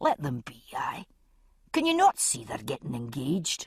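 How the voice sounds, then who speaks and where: A whispering, hissing put-on character voice at a moderate pace. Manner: hissed whisper.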